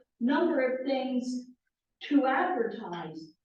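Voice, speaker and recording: Audible room echo surrounds a woman's high-pitched voice. Her intonation is lively. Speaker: member of a religious order. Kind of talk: group discussion. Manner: emphatic.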